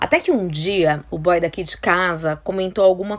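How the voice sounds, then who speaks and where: A woman's animated voice at medium pitch and moderate pace, on a very clean recording with a silent background. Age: 30s. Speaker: podcast host, style consultant. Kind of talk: casual monologue.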